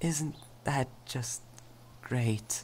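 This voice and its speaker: The speaker is soft-spoken. Light background noise can be heard. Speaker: voice actor for romantic character. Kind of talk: role-play monologue. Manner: soft, hesitant, stammering ASMR voice.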